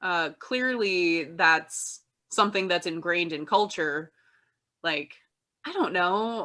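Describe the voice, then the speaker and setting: A woman with a Midwestern US accent speaks very slowly with long, frequent pauses, her fairly low voice bright and sharp in tone with ordinary pitch variation, on a very clean recording with a silent background. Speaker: podcast co-host. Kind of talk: casual chat.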